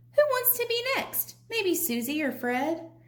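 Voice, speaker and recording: A woman puts on a squeaky character voice at an extremely high pitch with a gentle tone. She swings her pitch very widely and keeps a fairly slow pace. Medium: read story. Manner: gentle, measured.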